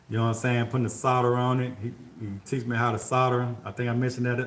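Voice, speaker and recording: Relaxed in tone, a man talks at a fairly quick pace and medium pitch, with audible room echo. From Mississippi, US South. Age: 50s. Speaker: HVAC contractor and livestreamer. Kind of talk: casual livestream chat answering viewer questions. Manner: relaxed, conversational.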